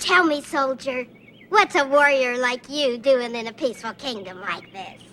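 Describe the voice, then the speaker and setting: Using a put-on character voice, a female-sounding speaker talks at a high pitch and a moderate pace. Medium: short film.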